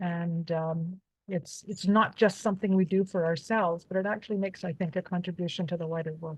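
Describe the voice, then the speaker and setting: Somewhat breathy speech moves at a fairly quick pace with fairly even intonation. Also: woman, fairly low pitch for a woman. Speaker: nursing professor and author. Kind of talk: academic presentation.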